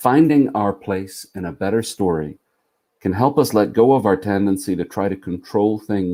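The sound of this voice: Against a quiet background, the clip has an unforced reading voice.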